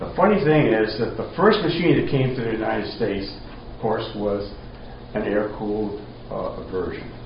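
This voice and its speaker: A speaker in a Rhode Island accent talks at a moderate pace with lively intonation. Noticeable background noise and audible room echo fill the recording. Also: man, medium pitch for a man. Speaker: retired engineer. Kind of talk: talk to a group.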